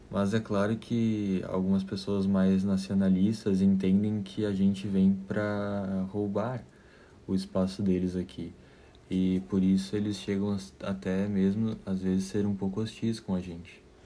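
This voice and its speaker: Flat and monotone, a man speaks in a dark, mellow tone. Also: fairly slow pace. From southern Brazil, Caxias do Sul, Rio Grande do Sul. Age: 20s. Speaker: architecture student and waiter. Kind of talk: interview. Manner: halting, many fillers.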